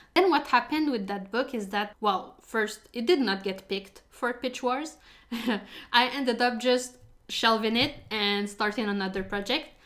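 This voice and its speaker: A woman with a French accent, fairly high in pitch, with ordinary pitch variation and a fairly slow pace. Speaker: fantasy writer. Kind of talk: casual talk to camera. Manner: chatty.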